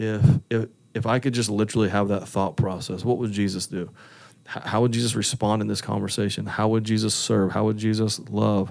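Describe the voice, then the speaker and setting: A man speaks in an ordinary speaking voice at a moderate pace. His pitch is fairly low, and his intonation fairly even. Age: 40s. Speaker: pastor. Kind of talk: interview. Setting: office.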